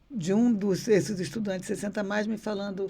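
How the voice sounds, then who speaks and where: This woman's voice has a medium pitch. There is a somewhat breathy edge to it. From Rio de Janeiro, Brazil. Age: 60s. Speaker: former university rector and political candidate. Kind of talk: podcast interview.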